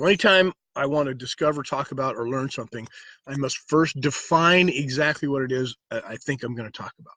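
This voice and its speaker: A man's fairly high, bright, sharp voice at a fairly quick pace, with big swings in loudness. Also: ordinary pitch variation. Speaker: life coach and martial arts instructor. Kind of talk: live stream talk to viewers. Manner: soft-spoken; halting, many fillers.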